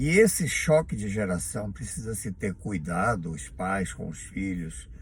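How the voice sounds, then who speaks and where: A man talks at a fairly slow pace with vocal fry. His intonation is lively. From Bahia, Brazil. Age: 70s. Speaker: vlogger. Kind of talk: monologue to camera.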